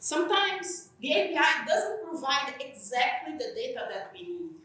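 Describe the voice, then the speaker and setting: In a Brazilian accent, a woman projects a raised voice with very wide pitch swings, and room echo is audible. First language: Portuguese. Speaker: software engineer, conference speaker. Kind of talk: conference talk. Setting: conference stage with audience. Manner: slightly hesitant, with fillers.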